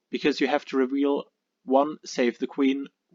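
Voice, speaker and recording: A man speaks with a non-native accent, and the sound is dry and close with no echo. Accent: noticeable non-native. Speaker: card game player. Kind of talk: casual card game deck profile talk.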